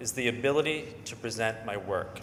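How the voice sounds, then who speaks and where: A man's medium-pitched, bright, sharp voice with ordinary pitch variation and audible room echo. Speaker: advertising creative and stuttering therapy client. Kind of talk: public speech. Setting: stage with audience.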